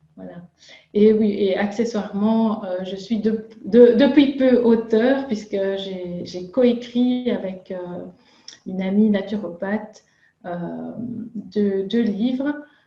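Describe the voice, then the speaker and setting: Over music in the background, a woman with a medium pitch talks at a very slow pace, keeping fairly even intonation while her loudness swings widely. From Belgium. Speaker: nutritionist and chef. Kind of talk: interview. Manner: halting, many filler sounds.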